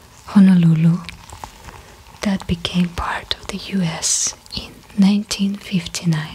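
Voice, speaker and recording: Whispering and soft-spoken, a woman talks at a very slow pace against noticeable background noise. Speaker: ASMR creator. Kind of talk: ASMR whisper video. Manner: whispered, soft-spoken.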